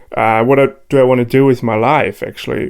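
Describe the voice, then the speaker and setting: This man has a German accent and a medium pitch. His intonation stays fairly even. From Germany, Cologne. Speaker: DJ and producer. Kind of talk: interview. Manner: hesitant, many fillers.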